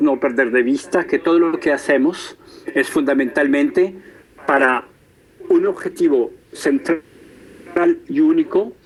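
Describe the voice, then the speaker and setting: There is noticeable background noise. Over it, a man talks at a very slow pace. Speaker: professor and entrepreneur, conference speaker. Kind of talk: lecture. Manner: hesitant, many fillers.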